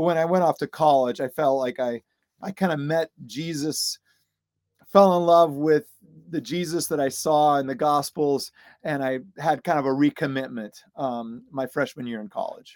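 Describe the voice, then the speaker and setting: A man's fairly high-pitched voice with an American accent at a moderate pace and ordinary pitch variation, in a dry, close sound with no echo on a very clean recording with a silent background. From US Midwest (Illinois, Iowa). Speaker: seminary professor and author. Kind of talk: interview. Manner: halting, many fillers and repeats.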